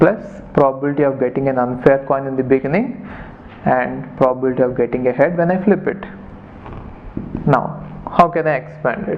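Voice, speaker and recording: Amid noticeable background noise and audible room echo, a man with a fairly high pitch and ordinary pitch variation talks at a fairly quick pace, with long, frequent pauses. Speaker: maths teacher. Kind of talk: lecture.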